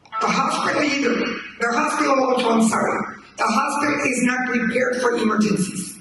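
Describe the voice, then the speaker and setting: With audible room echo, a man with an American accent talks at a moderate pace in an extremely high pitch and fairly even intonation. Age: 80s+. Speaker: community member. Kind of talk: town hall testimony.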